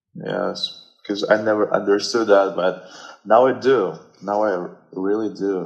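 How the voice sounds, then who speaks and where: Fairly low-pitched man with a slight Russian accent, fairly even intonation and a fairly slow pace. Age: 20s. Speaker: guest. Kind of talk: casual chat. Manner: halting.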